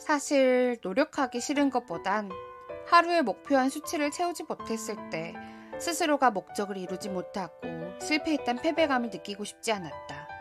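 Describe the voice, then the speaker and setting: Over background music, a woman with a high pitch speaks in a calm tone with very wide pitch swings. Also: moderate pace. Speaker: voice actor. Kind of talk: audiobook essay reading. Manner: calm, soft-spoken.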